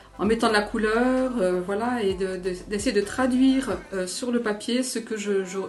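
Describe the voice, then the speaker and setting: Speaking at a very slow pace, a woman with a medium pitch and ordinary pitch variation is heard with audible room echo and noticeable background noise. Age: 60s. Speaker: amateur painter, church member. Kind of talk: interview testimony. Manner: halting, many hesitations.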